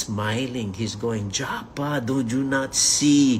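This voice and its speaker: A man speaks with an ordinary speaking voice, fairly even intonation and a fairly slow pace. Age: 60s. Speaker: network marketing leader. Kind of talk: motivational talk.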